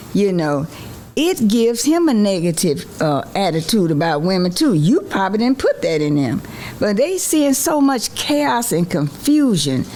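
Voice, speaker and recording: Noticeable background noise runs under a woman whose medium-pitched voice makes very wide pitch swings at very even loudness. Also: moderate pace. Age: 70s. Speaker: seasoned mother, advice-giving guest. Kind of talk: casual chat.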